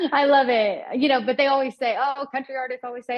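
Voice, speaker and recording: A woman with a high pitch talks at a very fast pace. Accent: Southern US. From US South. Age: 20s. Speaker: country singer. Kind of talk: interview. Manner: casual, chatty.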